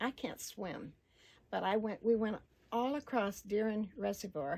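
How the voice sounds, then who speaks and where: At a fairly slow pace, a woman speaks in a medium pitch, somewhat breathy, with a dark, mellow tone and ordinary pitch variation. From Arkansas. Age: 80s+. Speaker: local resident interviewee. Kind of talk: oral history interview. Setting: at home.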